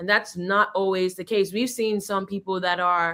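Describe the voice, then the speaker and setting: A woman with an unremarkable speaking voice, medium in pitch. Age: 30s. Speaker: genetics scientist. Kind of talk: interview.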